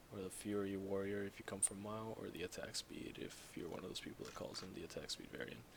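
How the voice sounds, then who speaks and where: A man speaks at a moderate pace with a fairly low pitch and fairly even intonation. Noticeable background noise runs throughout. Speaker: gaming YouTuber. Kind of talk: gameplay tutorial. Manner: soft, hushed.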